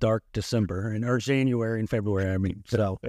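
Here a man talks at a fairly quick pace. His tone is dark and mellow, and his intonation fairly even. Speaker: podcast co-host. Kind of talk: casual interview.

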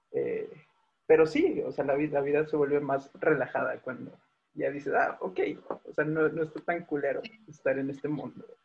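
The man talks at a moderate pace. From Mexico City, Tláhuac. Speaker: podcast co-host. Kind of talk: casual chat.

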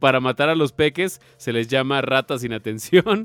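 A man with a Mexican accent. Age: 30s. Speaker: podcast host. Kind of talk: casual chat.

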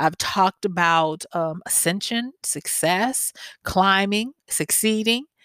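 In a Southern US accent, a woman speaks very slowly at a medium pitch with ordinary pitch variation and a bright, sharp tone. The sound is dry and close with no echo, and the recording is very clean against a silent background. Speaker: podcast host and life coach. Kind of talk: solo podcast monologue.

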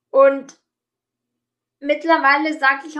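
Very slowly, a woman speaks in a raised, projected voice at a high pitch. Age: 30s. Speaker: life coach. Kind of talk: interview. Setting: online call.

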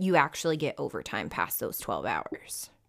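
A woman with an American accent speaks in a plain, everyday voice at a fairly low pitch and a fairly slow pace. The recording is very clean, with a silent background. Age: 20s. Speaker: ICU nurse and nursing instructor. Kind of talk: casual interview chat.

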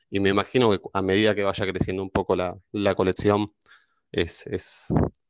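A man speaks with a very deep, low pitch. The sound is dry and close with no echo, over a quiet background. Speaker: board game player. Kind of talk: casual interview.

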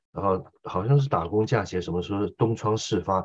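A man talks in an ordinary speaking voice. His pitch is fairly low, with ordinary variation. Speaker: interpreter and military commentator. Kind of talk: political commentary interview.

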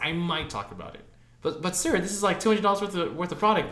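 Over noticeable background noise, a man with a high pitch uses a raised, projected voice at a fairly quick pace. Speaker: podcast co-host. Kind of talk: casual chat. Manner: casual, heavy profanity.

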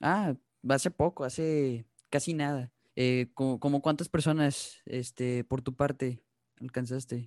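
Against a quiet background with a dry, close sound and no echo, a man speaks in a normal speaking voice at medium pitch, at a fairly slow pace with fairly even intonation. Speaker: podcast host. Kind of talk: casual chat.

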